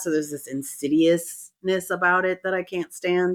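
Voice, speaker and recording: On a very clean recording with a silent background, a woman with a plain, everyday voice, fairly low in pitch, speaks at a moderate pace. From US West Coast, San Francisco Bay Area. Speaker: sex and relationship coach, podcast co-host. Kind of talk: casual chat.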